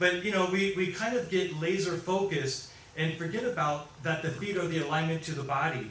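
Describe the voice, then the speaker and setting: With an American accent, a man talks at a fairly quick pace in a high pitch with an animated tone and ordinary pitch variation, amid noticeable background noise and audible room echo. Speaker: foot surgeon and implant inventor. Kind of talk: medical lecture. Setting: conference presentation in Chile.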